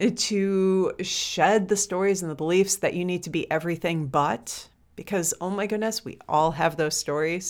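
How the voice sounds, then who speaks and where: A woman has an unremarkable speaking voice at a medium pitch, with ordinary pitch variation and a fairly slow pace. The recording is very clean, with a silent background. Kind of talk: guided meditation. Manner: slow, soft, soothing, with gentle pauses.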